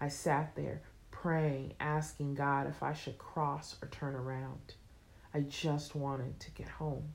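Speaking very slowly, a woman uses a very deep, low pitch and monotone, flat intonation. The room echo is audible. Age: 30s. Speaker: author. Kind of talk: reading aloud.

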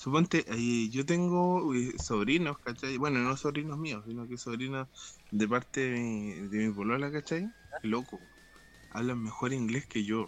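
A man with a Chilean accent speaks at medium pitch and a fairly slow pace, his pitch varying in an ordinary way. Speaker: podcast co-host. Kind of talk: casual chat.

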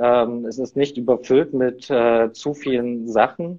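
This is a plain, everyday voice from a man at a medium pitch with fairly even intonation. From eastern Germany, near Leipzig. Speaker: innovation consultant. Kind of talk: interview.

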